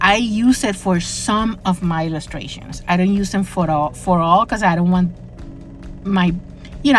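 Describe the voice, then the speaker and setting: A woman talks at a moderate pace with a medium pitch. Noticeable background noise runs under her voice. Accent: non-native. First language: not English. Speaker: crafting YouTuber. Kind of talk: casual voiceover narration of a crafting video. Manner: hesitant, many fillers and restarts.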